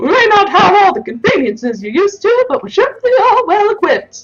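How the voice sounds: Someone uses a put-on character voice at a fairly quick pace, with faint music in the background.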